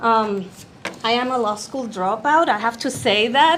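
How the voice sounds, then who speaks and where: A woman with a non-native accent speaks at a fairly slow pace, her fairly high voice carrying lively intonation. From Puerto Rico. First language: Spanish. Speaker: journalist and human rights activist. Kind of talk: invited talk to live audience. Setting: room with live audience. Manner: hesitant, with self-corrections and fillers.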